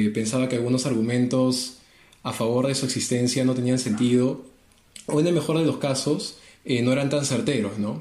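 Noticeable background noise and audible room echo surround a man's voice. He talks at a fairly quick pace, medium in pitch, with fairly even intonation. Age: 20s. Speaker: apologetics co-presenter, industrial engineer. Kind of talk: casual religious discussion.

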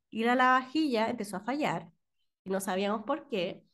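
Speaking fairly slowly in a Chilean accent, a woman swings her pitch very widely. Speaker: podcast co-host. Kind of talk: casual chat.

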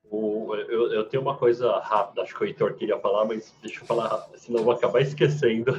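Noticeable background noise sits behind a man who talks at a very fast pace with hardly any pauses. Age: 30s. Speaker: marketing professional, former freelancer. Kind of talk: casual chat.

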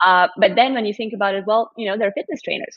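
The speaker has a Russian accent. The pace is very fast. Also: woman. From Russia, Moscow. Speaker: live stream show host. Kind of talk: casual interview. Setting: live stream video call.

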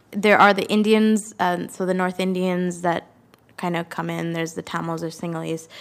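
A woman with a Canadian accent speaks at a moderate pace in a fairly low, flat, monotone voice. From Canada. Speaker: recent graduate. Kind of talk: interview. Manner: outgoing.

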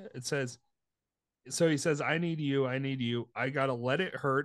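In a playful tone, a man speaks at a fairly slow pace with ordinary pitch variation against a quiet background. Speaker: podcast co-host. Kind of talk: casual chat. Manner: joking, playful.

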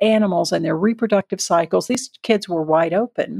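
A woman with a Southern US accent in a dry, close sound with no echo. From US South. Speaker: volunteer nonprofit leader. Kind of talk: interview.

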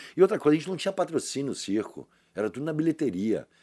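A man speaks with vocal fry and very wide pitch swings. The recording is very clean, with a silent background. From Brazil, Salvador (Bahia). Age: 60s. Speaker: actor. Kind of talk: casual interview. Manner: animated.

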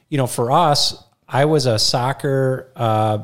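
Over a very clean recording with a silent background, a man with an Upper Midwest accent speaks at a medium pitch with ordinary pitch variation. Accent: Upper Midwest American. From Minnesota (Rochester). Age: 40s. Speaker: financial advisor. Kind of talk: casual interview storytelling. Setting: studio.

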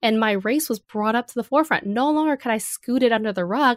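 A woman with a General American accent speaks at fairly high pitch. She has an ordinary speaking voice and lively intonation. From US, Los Angeles area. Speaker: author and advertising creative. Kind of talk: interview.

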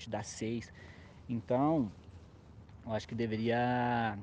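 A man's voice with a dark, mellow tone. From interior of São Paulo state, Brazil. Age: 20s. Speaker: hip hop dance choreographer. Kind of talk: casual interview.

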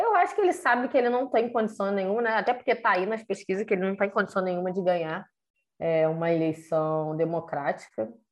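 A woman's medium-pitched voice at a very fast pace. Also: lively intonation. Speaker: podcast co-host. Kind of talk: casual chat.

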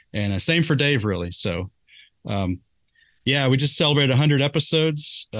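A man with an American accent speaks at a moderate pace in a bright, sharp tone, with very wide pitch swings and long, frequent pauses. The sound is dry and close with no echo, over a quiet background. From Kentucky, US. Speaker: podcast host.

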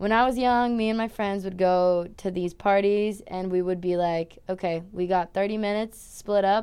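A woman's dark, mellow voice at medium pitch, with fairly even intonation, a moderate pace and hardly any pauses, over a quiet background. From Brazil, São Paulo. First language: Portuguese. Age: 20s. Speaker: college swimmer. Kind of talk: casual interview chat.

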